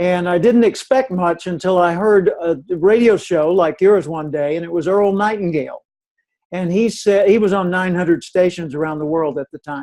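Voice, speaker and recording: Using ordinary pitch variation, a man with an American accent speaks at a moderate pace in a high voice with a dark, mellow tone. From US South, Little Rock, Arkansas. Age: 70s. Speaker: professional speaker. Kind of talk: radio interview. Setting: radio show.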